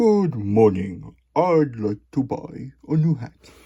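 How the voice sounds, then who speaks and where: In a put-on character voice, the speaker talks at a very slow pace. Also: man, medium pitch for a man. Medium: read story. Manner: polite, fussy.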